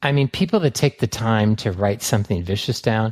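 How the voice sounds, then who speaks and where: With an American accent and lively intonation, a man speaks fast at a medium pitch on a very clean recording with a silent background and a dry, close sound with no echo. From San Francisco, US. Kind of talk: interview testimony.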